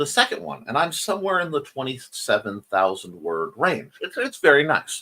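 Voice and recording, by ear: A man puts on a character voice that is hoarse and fairly high in pitch. He goes at a moderate pace with hardly any pauses.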